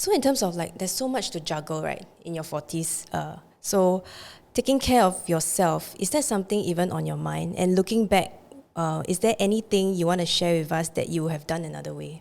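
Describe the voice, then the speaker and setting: In an unremarkable speaking voice, a woman talks at a fairly quick pace with a fairly low pitch and ordinary pitch variation. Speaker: podcast host. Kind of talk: podcast interview questions.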